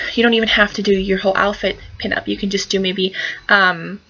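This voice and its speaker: Woman at a fairly quick pace, in a monotone, flat intonation, over noticeable background noise. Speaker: pinup fashion vlogger. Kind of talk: casual tutorial vlog. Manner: mumbling; hesitant, many fillers. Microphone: laptop camera mic, poor quality.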